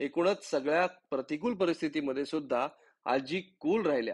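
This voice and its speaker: A man talks with a high pitch. The background is quiet. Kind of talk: documentary narration.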